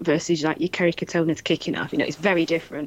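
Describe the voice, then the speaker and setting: The speaker has a Manchester accent and fairly even intonation, talking at a fairly quick pace. The recording is very clean, with a silent background. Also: woman. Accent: Mancunian northern English. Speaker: podcast co-host. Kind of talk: casual chat.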